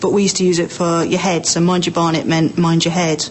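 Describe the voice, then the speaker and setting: Against noticeable background noise, a woman with an Estuary English accent speaks at a medium pitch. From southern England, Berkshire. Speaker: accent sample speaker. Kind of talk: informal monologue about own accent.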